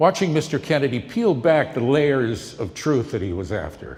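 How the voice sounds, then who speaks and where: Speaking fairly slowly with an American accent, a man uses a fairly high pitch and vocal fry. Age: 70s. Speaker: former TV news correspondent and campaign volunteer. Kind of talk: speech introducing a film.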